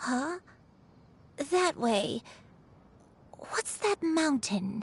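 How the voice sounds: Putting on a character voice, a woman speaks with a high pitch, lively intonation and vocal fry at a very slow pace.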